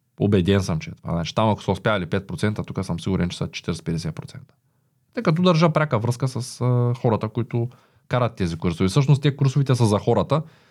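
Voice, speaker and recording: An ordinary speaking voice from a man, medium in pitch, at a moderate pace. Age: 30s. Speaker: entrepreneur. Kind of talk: interview.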